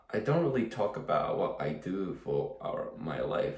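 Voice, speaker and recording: A man keeps a moderate pace while noticeable background noise fills the recording. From Japan. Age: 30s. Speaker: fishing vlogger. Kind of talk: casual vlog monologue. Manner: halting, many fillers and repetitions.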